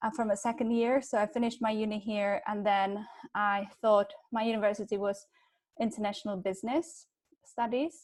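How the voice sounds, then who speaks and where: The recording is very clean, with a silent background. A woman with a Czech accent and a fairly high pitch speaks at a moderate pace with ordinary pitch variation. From Czech Republic. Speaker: digital advertising professional. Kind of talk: panel discussion.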